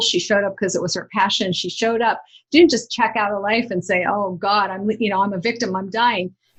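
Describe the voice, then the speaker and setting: Against a quiet background, a woman talks at a fairly quick pace in a somewhat breathy voice. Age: 60s. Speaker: author and inspirational speaker. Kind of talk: interview conversation.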